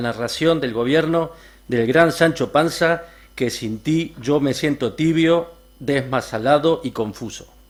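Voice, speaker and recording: A fairly high-pitched man with an Argentine accent, fairly slow pace and ordinary pitch variation. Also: very clean recording, silent background. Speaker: reader at a literary event. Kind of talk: reading aloud.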